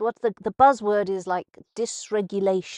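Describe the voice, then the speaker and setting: Against a quiet background, with a dry, close sound and no echo, a woman with an English accent and medium pitch speaks at a fairly slow pace. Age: old. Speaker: radio host. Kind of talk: casual monologue. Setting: live radio broadcast. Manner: halting.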